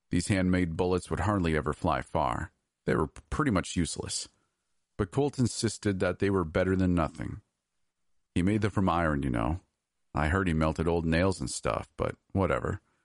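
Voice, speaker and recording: Against a quiet background, a man speaks at a moderate pace with a very deep, low pitch. Vocal fry runs through his voice, and his pitch variation is ordinary. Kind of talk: horror fiction narration. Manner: hushed, suspenseful storyteller pacing.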